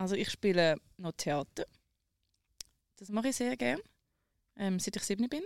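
Speaking in a Zurich accent, a woman of medium pitch keeps a moderate pace with very wide pitch swings. Long, frequent pauses mark her speech, and the sound is dry and close with no echo. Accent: Zurich Swiss German. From rural Switzerland. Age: 20s. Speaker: radio social media producer. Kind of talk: casual chat. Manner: animated.

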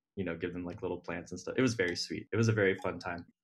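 A man with a Midwestern American accent speaks with a very deep, low pitch and fairly even intonation. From Ohio. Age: 20s. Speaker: dating podcast guest. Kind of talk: casual chat.

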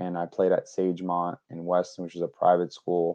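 With an American accent, a man talks at a moderate pace in a very deep, low voice. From New York. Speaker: baseball player agent and draft advisor. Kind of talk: interview.

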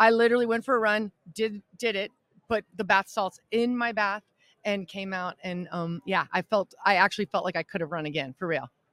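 Speech moves at a fairly quick pace. The recording is very clean, with a silent background. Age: 50s. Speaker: podcast co-host, mother of NFL players. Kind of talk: casual chat. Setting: live broadcast at a sports media event.

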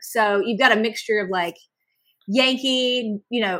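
This is a woman speaking. Her American accent comes with a bright, sharp tone. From North Carolina. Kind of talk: casual chat.

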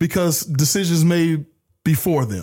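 A man speaks at a moderate pace and a high pitch, with ordinary pitch variation. The recording is very clean and the background silent. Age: 30s. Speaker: sports podcast host. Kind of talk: casual chat.

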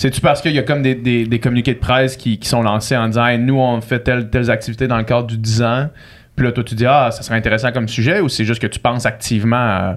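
The man speaks at a very fast pace. His intonation stays fairly even. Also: medium pitch for a man. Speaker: podcast host. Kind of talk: casual chat.

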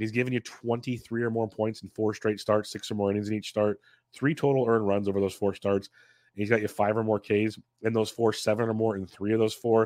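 A man at a fairly quick pace with monotone, flat intonation. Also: fairly low pitch for a man, dry, close sound with no echo. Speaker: DFS analyst podcaster. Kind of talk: sports betting analysis preview. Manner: informal, conversational.

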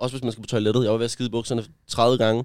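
Medium-pitched male voice, monotone and flat, in a very clean recording with a silent background. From Denmark, Gentofte. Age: 20s. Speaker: influencer. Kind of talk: personal testimony. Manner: halting.

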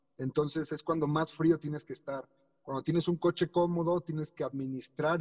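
Somewhat breathy, a man speaks at a fairly quick pace. His pitch is fairly high and his intonation fairly even. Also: dry, close sound with no echo. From Mexico. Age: 30s. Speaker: racing driver. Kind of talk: interview.

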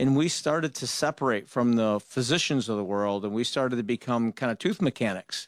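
In an ordinary speaking voice, a man with an American accent talks at a fairly quick pace and medium pitch, recorded with a dry, close sound and no echo. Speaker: dentist. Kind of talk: call-in radio talk show. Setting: studio.

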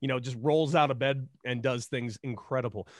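A man speaks in an American accent. The background is quiet. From Los Angeles, California. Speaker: former pro baseball player and actor. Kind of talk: casual chat. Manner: animated, joking.

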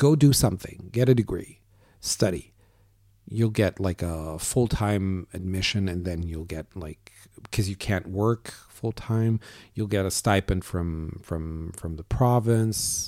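With an Arabic accent, a man speaks slowly-ish at a fairly slow pace in a very deep, low pitch and a dark, mellow tone, showing ordinary pitch variation and big swings in loudness, on a very clean recording with a silent background. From Syria, Damascus. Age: 40s. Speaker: storyteller, graduate student. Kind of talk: personal storytelling interview. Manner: casual, frequent fillers and repetitions.

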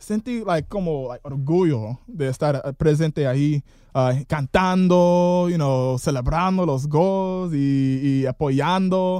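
With an English accent, a man speaks at a very slow pace with hardly any pauses. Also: fairly high pitch for a man, ordinary pitch variation. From southern California near Tijuana, born Detroit. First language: English (speaking Spanish). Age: 20s. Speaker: football fan. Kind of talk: casual chat. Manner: halting, many fillers.

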